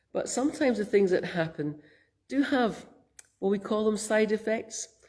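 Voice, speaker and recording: A woman speaks in a Scottish accent with ordinary pitch variation. Her tone is gentle, dark and mellow. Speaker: minister. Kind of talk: sermon. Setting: church. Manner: gentle, reflective.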